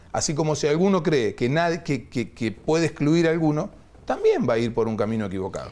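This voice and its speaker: Fairly high-pitched, a man talks at a fairly quick pace with lively intonation. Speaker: politician. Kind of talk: interview. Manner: halting.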